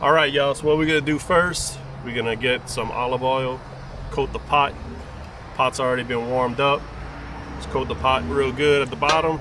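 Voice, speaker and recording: A man with a Cajun accent speaks at medium pitch and a moderate pace, in a relaxed tone with ordinary pitch variation. Long, frequent pauses break up his speech, with music in the background. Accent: Cajun Louisiana English. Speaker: cooking vlogger and hunter. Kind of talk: cooking tutorial. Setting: outdoors at a campground. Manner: casual, relaxed.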